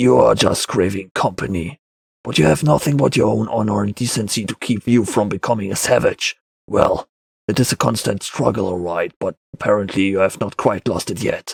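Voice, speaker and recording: With dry, close sound and no echo, a man does a put-on character voice at fairly low pitch, moderate pace and ordinary pitch variation. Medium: read story. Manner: curt, gruff.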